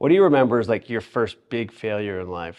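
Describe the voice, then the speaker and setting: With a normal speaking voice, a man talks at a medium pitch and a fairly quick pace. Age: 40s. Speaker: podcast host. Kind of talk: interview podcast.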